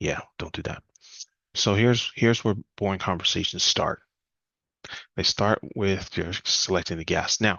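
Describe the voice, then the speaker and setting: A man's fairly low voice, fairly even in intonation, broken by long, frequent pauses. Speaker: questions coach and speaker. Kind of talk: presentation talk. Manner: fast.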